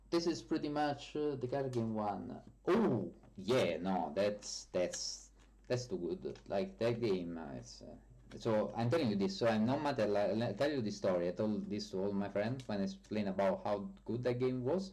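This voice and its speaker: The speaker has a strong Italian accent and a dark, mellow tone, talking at a moderate pace. The intonation is lively, with audible room echo. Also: man, fairly low pitch for a man. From Italy. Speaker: software developer streamer. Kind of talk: live stream chat. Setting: live stream. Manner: hesitant, many fillers.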